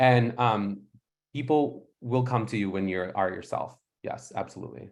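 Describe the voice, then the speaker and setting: A man speaks at a moderate pace and medium pitch. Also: ordinary pitch variation. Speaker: podiatrist. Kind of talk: panel discussion. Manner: loud.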